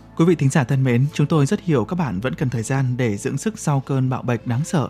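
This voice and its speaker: In a very clean recording with a silent background, a man with a dark, mellow tone speaks somewhat breathily at a fairly quick pace with lively intonation. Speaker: radio host. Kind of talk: news reading. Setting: studio.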